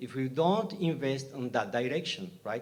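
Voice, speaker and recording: Speaking at a moderate pace with a Bolivian accent, a man uses a fairly high pitch. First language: Spanish. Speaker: scientist, audience member. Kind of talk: panel Q&A question. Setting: live webinar with in-room audience. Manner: halting, many repetitions.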